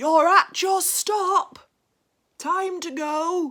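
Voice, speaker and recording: Using a put-on character voice, a woman speaks at an extremely high pitch. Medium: read story. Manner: booming.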